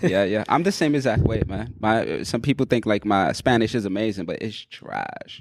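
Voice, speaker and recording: A moderate pace with hardly any pauses, ordinary pitch variation, and a New York accent. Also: man, medium pitch for a man. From New York City. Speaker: podcast host. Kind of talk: casual chat.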